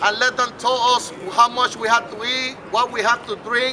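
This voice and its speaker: Over noticeable background noise, a man with a Puerto Rican accent projects a raised voice at an extremely high pitch, his intonation flat and monotone. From Puerto Rico. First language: Spanish. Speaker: mayoral candidate. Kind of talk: campaign speech. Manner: impassioned oratory.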